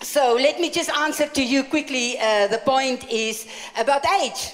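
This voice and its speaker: Over noticeable background noise, a high-pitched woman talks at a very slow pace. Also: ordinary pitch variation. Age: 60s. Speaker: evangelist preacher. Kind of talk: sermon with interpreter. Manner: animated.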